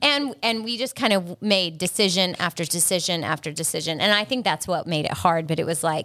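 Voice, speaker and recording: In a very clean recording with a silent background, a woman with an American accent and an unremarkable speaking voice talks at a fairly quick pace, her pitch fairly low, with ordinary pitch variation. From South Carolina.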